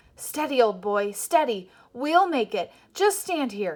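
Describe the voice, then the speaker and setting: On a very clean recording with a silent background, a woman does a put-on character voice, high-pitched and fairly slow, with very wide pitch swings. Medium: read story. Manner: steady.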